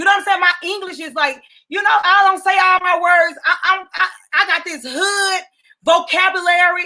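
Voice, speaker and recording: A raised, projected voice with a bright, sharp tone carries ordinary pitch variation. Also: woman. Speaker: talk show host. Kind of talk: casual interview chat. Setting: live stream video.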